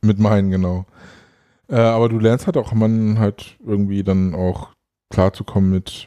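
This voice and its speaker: Fairly slow, fairly low male voice with fairly even intonation and long, frequent pauses, in a dry, close sound with no echo and a quiet background. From Hannover, northern Germany. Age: 40s. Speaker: firefighter. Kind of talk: casual chat.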